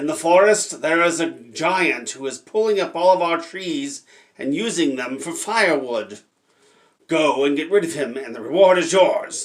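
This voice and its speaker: In a put-on character voice, a man speaks at a high pitch with lively intonation. He talks at a moderate pace. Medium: read story.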